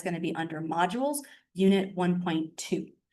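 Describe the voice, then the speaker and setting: A woman talks at a fairly quick pace in a medium pitch, with ordinary pitch variation. Audible room echo surrounds her voice. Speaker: chemistry instructor. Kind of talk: lecture. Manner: fast.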